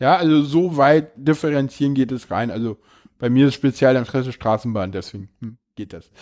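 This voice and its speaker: This is a man with an unremarkable speaking voice at a medium pitch and ordinary pitch variation. He talks fairly quickly, with big swings in loudness. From Berlin. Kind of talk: casual interview chat.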